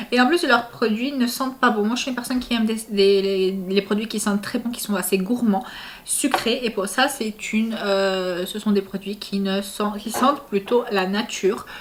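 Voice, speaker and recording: Over noticeable background noise, a woman speaks at a moderate pace, her pitch fairly high with ordinary variation. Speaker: family vlogger. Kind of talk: casual vlog product review. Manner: hesitant, many fillers.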